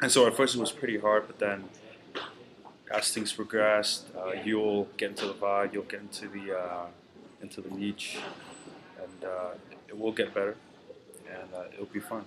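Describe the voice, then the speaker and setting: A man with a Vietnamese accent speaks at a moderate pace in a fairly low, monotone, flat voice, with long, frequent pauses and big swings in loudness. Noticeable background noise is present. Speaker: university student. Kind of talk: farewell address to classmates. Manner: halting, many fillers.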